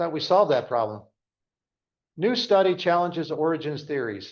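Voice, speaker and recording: A man's high-pitched voice with lively intonation, at a moderate pace over a quiet background. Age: 60s. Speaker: Sunday school teacher. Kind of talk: Bible class lecture. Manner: halting, self-correcting.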